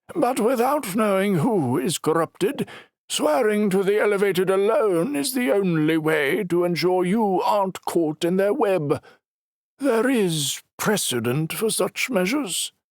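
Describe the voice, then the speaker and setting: A man puts on a high-pitched character voice with lively intonation, the sound dry and close with no echo. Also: moderate pace. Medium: read story. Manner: measured, soothing.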